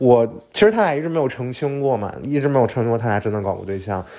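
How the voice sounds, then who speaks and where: A man with a medium pitch speaks in an animated tone at a fairly quick pace, his intonation lively, in a very clean recording with a silent background. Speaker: podcast host. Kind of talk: casual solo monologue. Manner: fast.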